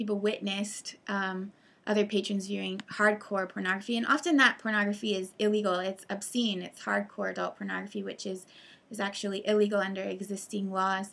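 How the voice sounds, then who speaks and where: A woman speaks at a fairly quick pace. Her intonation stays monotone and flat. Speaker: presenter. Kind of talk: commentary over news articles. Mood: serious, concerned. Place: home room. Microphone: webcam.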